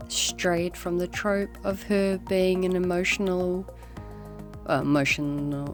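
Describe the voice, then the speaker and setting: Music plays in the background as a woman talks at a very slow pace. Her loudness stays very even. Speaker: digital artist. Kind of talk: casual voiceover to speedpaint.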